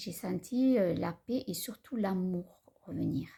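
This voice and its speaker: Here a woman speaks at a very slow pace. Her tone is dark and mellow, with lively intonation. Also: very clean recording, silent background. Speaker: spiritual vlogger. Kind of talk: personal vlog talk. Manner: halting; calm.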